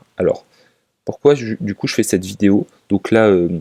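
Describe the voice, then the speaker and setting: Dry, close sound with no echo, carrying a man's medium-pitched voice. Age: 20s. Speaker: finance YouTuber. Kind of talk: casual talk to camera. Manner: halting, many fillers.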